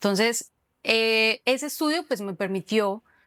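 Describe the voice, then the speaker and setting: A woman with a Cúcuta accent speaks fairly slowly at a fairly high pitch. The recording is very clean, dry and close, with a silent background and no echo. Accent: Cúcuta accent, noticeable. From Colombia, Cúcuta. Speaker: social communicator, digital marketer. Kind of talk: interview. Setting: cultural center.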